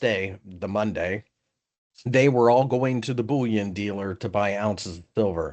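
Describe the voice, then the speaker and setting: A man with an American accent and a normal speaking voice, lively intonation and a moderate pace. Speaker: senior trading analyst. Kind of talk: podcast discussion.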